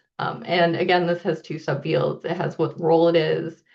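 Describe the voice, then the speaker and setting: The woman's voice carries noticeable vocal fry. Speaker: archivist presenting a software workflow. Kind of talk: technical presentation. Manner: casual with frequent fillers.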